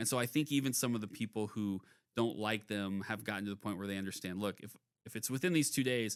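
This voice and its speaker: A man with a Midwestern American accent at a very fast pace, ordinary pitch variation, on a very clean recording with a silent background. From Topeka, Kansas. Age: 40s. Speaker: city council member and podcast host. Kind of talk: casual interview chat.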